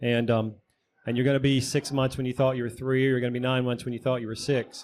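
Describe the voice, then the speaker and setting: Speaking in a Southern US accent, a man keeps a medium pitch and a monotone, flat intonation. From US South. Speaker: private lender panelist. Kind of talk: panel discussion.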